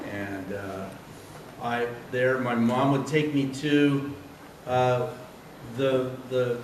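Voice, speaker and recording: A man at a very slow pace with long, frequent pauses and fairly even intonation, amid audible room echo and noticeable background noise. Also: medium pitch for a man. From San Diego, California, US. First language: Spanish. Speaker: cartoonist. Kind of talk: public talk. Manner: hesitant, many fillers.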